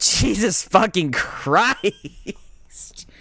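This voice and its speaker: A man speaks with vocal fry. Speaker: podcast co-host. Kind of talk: casual chat, comedic banter. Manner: joking, rambling, self-interrupting.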